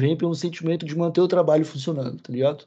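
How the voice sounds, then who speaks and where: His tone is dark and mellow. The man's pitch moves in an ordinary way. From southern Brazil. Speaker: cannabis content creator. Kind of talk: casual interview chat.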